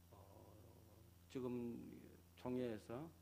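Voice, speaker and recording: A man speaks with a strong Gyeongsang accent. His pitch sits in the medium range. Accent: thick Gyeongsang dialect. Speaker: pastor. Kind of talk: sermon.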